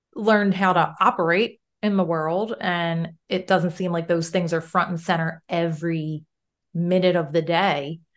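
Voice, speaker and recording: Against a quiet background, a woman with a normal speaking voice talks at a moderate pace in a fairly low pitch with fairly even intonation. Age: 40s. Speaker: mindset coach. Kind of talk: interview.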